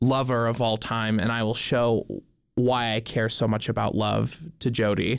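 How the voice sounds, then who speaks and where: A man speaks with an American accent at a medium pitch. His intonation is monotone and flat. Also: very clean recording, silent background. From Montana. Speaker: stage actor. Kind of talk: casual chat.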